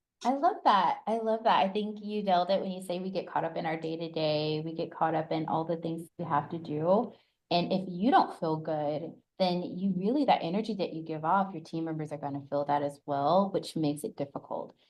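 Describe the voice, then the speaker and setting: A woman with a normal speaking voice and an American accent talks at a fairly quick pace, her fairly low pitch showing ordinary variation. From US South, Atlanta. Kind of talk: interview conversation.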